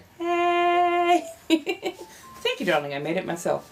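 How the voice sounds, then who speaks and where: Music plays behind the voice. A woman talks very slowly. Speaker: live streamer greeting viewers. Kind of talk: casual, chatty.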